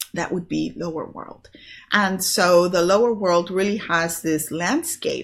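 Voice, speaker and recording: This woman has a plain, everyday voice with a fairly low pitch. She speaks at a fairly slow pace with fairly even intonation. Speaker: spiritual teacher and online business host. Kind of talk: solo video talk on spirituality. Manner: casual with many fillers.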